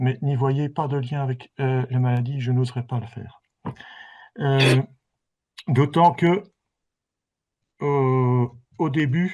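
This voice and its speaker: A man at medium pitch speaks very slowly with long, frequent pauses and fairly even intonation over a quiet background. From Belgium. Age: 60s. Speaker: patient giving testimony, chemical engineer. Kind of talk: testimony. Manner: hesitant.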